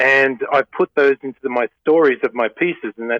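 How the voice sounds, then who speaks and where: An Australian accent marks this man's speech. He talks at a fairly quick pace. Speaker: painter. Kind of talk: interview.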